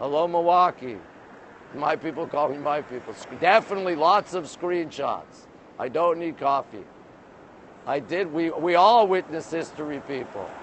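The speaker moves at a moderate pace with long, frequent pauses and ordinary pitch variation, in a dry sound with no echo and light background noise. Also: man. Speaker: livestreamer. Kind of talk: casual livestream chat reading viewer comments. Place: street. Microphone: phone near.

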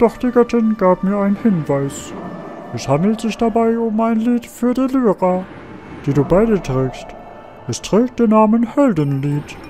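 A put-on character voice at a fairly high pitch moves at a moderate pace. Clear music plays in the background. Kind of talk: solemn put-on voice. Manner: grave, ceremonious.

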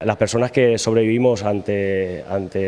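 A man speaks with a fairly low pitch. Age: 40s. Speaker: patient advocate, lung transplant recipient. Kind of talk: news interview. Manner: halting, with repetitions and fillers. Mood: earnest, grateful. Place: hall. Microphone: handheld.

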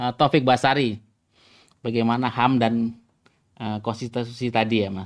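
A man talks in a monotone, flat intonation at a moderate pace. He leaves long, frequent pauses against a quiet background. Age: 40s. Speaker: podcast host. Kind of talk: interview. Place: home room. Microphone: video call.

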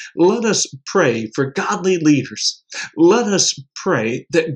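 The surroundings are quiet. A man's voice is heard. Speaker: prayer leader. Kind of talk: fervent prayer; devotional address. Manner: earnest, impassioned. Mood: earnest, devout.

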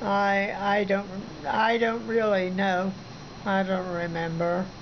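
Over light background noise, a woman with a Midwestern American accent speaks very slowly, with very even loudness and fairly even intonation. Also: medium pitch for a woman. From Southern Ohio, USA. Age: 80s+. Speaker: retired minister and missionary. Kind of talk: interview answer. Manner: hesitant, halting. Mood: calm, earnest, reflective. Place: home room. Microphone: phone near.

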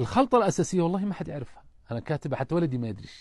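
The man's intonation is lively. Behind him, things stay quiet. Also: dry sound with no echo. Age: 50s. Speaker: businessman; guest. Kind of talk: interview. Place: tent. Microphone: lapel.

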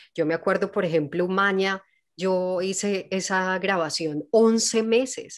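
A woman speaks at a very slow pace with a medium pitch. Her pitch varies in an ordinary way over a quiet background. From Colombia, Medellín (paisa). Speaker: actress and singer; actress. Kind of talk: casual interview. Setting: video call. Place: home room. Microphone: studio mic.

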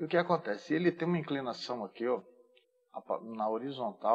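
This man talks at a moderate pace. His intonation is lively. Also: quiet background. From Brazil. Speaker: AutoCAD instructor. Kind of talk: tutorial. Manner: casual, informal. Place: home room.

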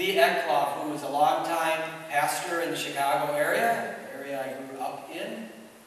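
A man at a fairly slow pace in strong room echo. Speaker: pastor. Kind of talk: sermon. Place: church.

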